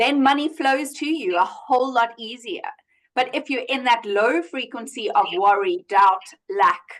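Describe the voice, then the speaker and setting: At a fairly slow pace, a woman speaks loudly and in an animated tone, her high pitch making very wide swings. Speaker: money coach. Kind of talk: casual chat.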